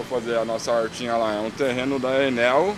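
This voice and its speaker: Noticeable background noise runs under a man talking at a very fast pace. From São Paulo east zone, Cidade Tiradentes. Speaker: street artist and painter. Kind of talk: casual interview.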